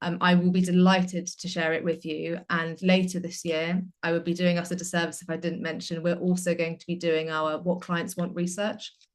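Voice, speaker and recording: The woman's pitch is fairly low. Her intonation is monotone and flat. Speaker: marketing community manager presenting survey results. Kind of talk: presentation. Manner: hesitant with frequent fillers.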